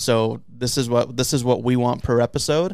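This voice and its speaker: Medium in pitch, a man speaks with an American accent and fairly even intonation. It is a normal speaking voice. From US West Coast, San Diego. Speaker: sports video producer. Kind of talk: casual chat.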